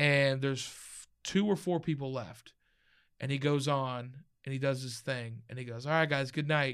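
A man with an American accent has a plain, everyday voice, fairly high in pitch, with ordinary pitch variation and a moderate pace. His loudness swings widely on a very clean recording with a silent background. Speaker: stand-up comedian. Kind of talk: casual chat. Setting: studio.

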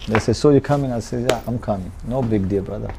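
A man speaking very fast and fairly low in pitch, over noticeable background noise. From Pakistan. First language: not English. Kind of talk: casual interview. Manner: animated.

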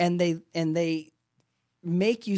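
A man with a normal speaking voice talks at a moderate pace and a fairly high pitch. The recording is very clean, with a silent background and a dry, close sound with no echo. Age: 30s. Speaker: real estate agent and podcast host. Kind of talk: casual chat.

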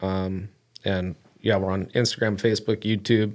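On a very clean recording with a silent background, a man speaks at a fairly slow pace in a fairly low pitch with monotone, flat intonation. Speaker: angler. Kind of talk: casual chat.

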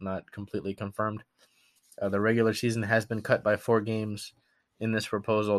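Over a quiet background, a fairly low-pitched man talks at a very fast pace in a monotone, flat intonation. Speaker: sports podcast host. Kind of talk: casual sports news rundown.

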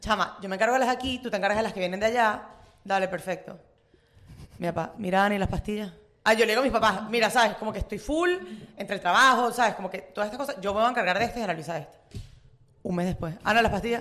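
Pitch moves in an ordinary way. The pace is very fast. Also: woman. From Venezuela. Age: 20s. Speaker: student. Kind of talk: casual chat. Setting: coworking cafe.

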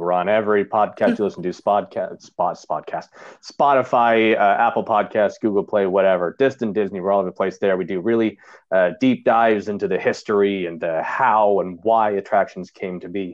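Here a man with an ordinary speaking voice talks at a moderate pace in a fairly low pitch. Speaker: podcast guest, hosts own Disney podcast.

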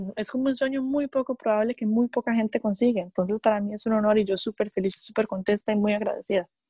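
A woman speaks at a very fast pace in a fairly high pitch, with a dark, mellow tone and a somewhat breathy quality. Her intonation is fairly even, and the sound is dry and close with no echo. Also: hardly any pauses. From Costa Rica. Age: 20s. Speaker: professional wrestler. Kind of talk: interview.

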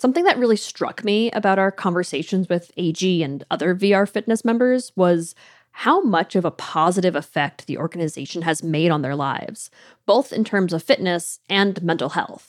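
In a dry, close sound with no echo, a woman with an ordinary speaking voice talks at a moderate pace and medium pitch, with lively intonation. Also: very clean recording, silent background. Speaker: audio producer and co-host. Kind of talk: scripted narration.

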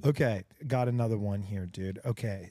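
A man in an American accent speaks with a dark, mellow tone, the sound dry and close with no echo on a very clean recording with a silent background. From Texas. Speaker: podcast host in recovery.

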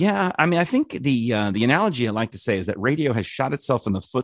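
Very fast male speech with lively intonation, dry and close with no echo. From New York. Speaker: former radio producer. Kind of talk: casual chat.

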